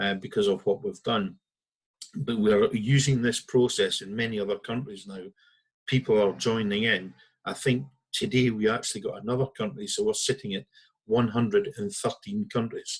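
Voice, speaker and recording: A somewhat breathy man in a northeast Scottish accent, medium in pitch, at a moderate pace with ordinary pitch variation and a quiet background. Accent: Scottish (north-east). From Scotland, Aberdeen. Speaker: founder of a citizens' legal movement. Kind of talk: talk to an online audience.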